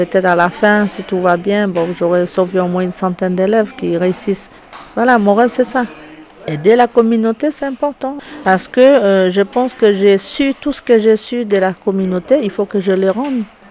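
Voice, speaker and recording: A woman speaks at medium pitch and a moderate pace, with ordinary pitch variation. There is noticeable background noise. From French Guiana. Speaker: wood sculptor and visual artist. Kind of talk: interview answer.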